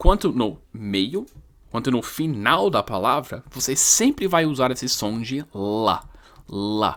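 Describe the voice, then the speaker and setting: On a very clean recording with a silent background, a man with a non-native accent speaks at a very slow pace using lively intonation. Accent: foreign accent in Portuguese. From English-speaking country. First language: English (speaking Portuguese). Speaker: English teacher. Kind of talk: lecture. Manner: halting.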